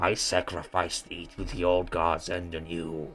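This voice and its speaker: A man's put-on character voice, very deep and low, at a fairly slow pace, with faint music in the background. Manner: ritualistic, theatrical.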